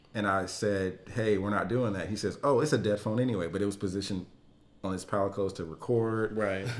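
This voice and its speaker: A man's fairly low voice, fairly even in intonation, at a very fast pace. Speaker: podcast co-host. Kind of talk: casual chat.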